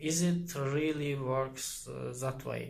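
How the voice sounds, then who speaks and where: A man speaking at a very slow pace amid noticeable background noise and audible room echo. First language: not English. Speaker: YouTuber explaining psychology. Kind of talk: casual explainer monologue. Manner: halting, many fillers.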